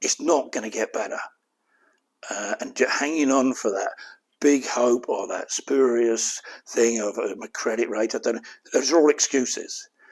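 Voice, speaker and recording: A man speaks at a moderate pace, broken by long, frequent pauses. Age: 60s. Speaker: company chairman, debt adviser. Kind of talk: webinar presentation. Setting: online event. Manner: frank, conversational.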